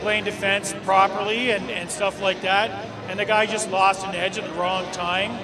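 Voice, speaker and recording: Over noticeable background noise, a man speaks at a fairly slow pace in a raised, projected voice. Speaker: interview guest. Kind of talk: interview answer. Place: stadium. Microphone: handheld.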